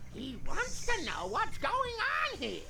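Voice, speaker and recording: A put-on character voice at a fairly slow pace, under loud background noise. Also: woman. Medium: game stream. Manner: doting, muddled.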